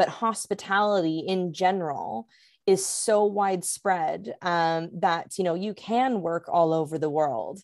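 This woman speaks with a Canadian accent at a medium pitch and a fairly slow pace. Her pitch varies in an ordinary way, and it is an ordinary speaking voice. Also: very clean recording, silent background. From Canada, Vancouver. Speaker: hospitality consultant. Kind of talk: interview.

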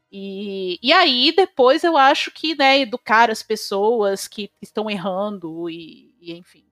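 Music plays in the background as a woman speaks very slowly at a fairly high pitch, with very wide pitch swings and big swings in loudness, in a dry, close sound with no echo. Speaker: social media activist. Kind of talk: casual chat.

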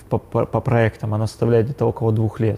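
A man's somewhat breathy, medium-pitched voice with a dark, mellow tone and fairly even intonation. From Yekaterinburg, Russia. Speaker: coffee shop owner and barista trainer. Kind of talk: casual interview.

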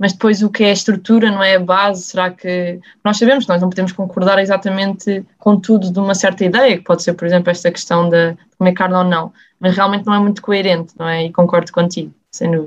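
Speaking at a very fast pace with hardly any pauses, a woman holds a medium pitch in a monotone, flat intonation. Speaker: student podcast host. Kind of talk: casual chat.

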